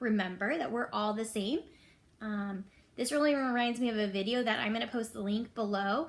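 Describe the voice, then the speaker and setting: Here a woman has a normal speaking voice with fairly high pitch. She talks at a fairly quick pace. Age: 30s. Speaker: elementary school teacher. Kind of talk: reading aloud; casual chat.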